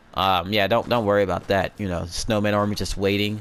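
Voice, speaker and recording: His voice sits fairly low. It belongs to a man. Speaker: gaming YouTuber. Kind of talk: gameplay walkthrough commentary. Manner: fast; casual, filler-heavy.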